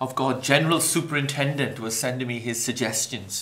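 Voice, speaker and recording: Audible room echo surrounds a man of medium pitch who speaks with a Welsh accent. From Wales, Maesteg near Swansea. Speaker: pastor. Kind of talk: interview.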